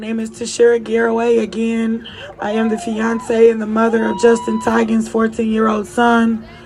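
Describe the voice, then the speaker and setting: Noticeable background noise sits behind a woman with a fairly high pitch. Her intonation is monotone and flat, while her loudness swings widely. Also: moderate pace. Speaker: victim's family member. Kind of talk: rally speech.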